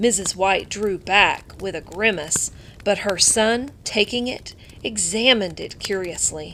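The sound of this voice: Unforced reading voice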